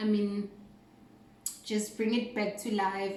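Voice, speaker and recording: A woman talks amid noticeable background noise, and audible echo from the room comes through. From South Africa, North West (Rustenburg). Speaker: cooking vlogger. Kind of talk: casual video intro.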